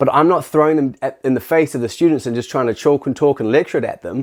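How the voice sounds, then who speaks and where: Animated in tone, a man with a fairly high voice talks at a very fast pace. His pitch variation is ordinary, and the background is quiet. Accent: New Zealand. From New Zealand. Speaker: teacher. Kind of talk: casual talk to camera. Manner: animated, halting with restarts.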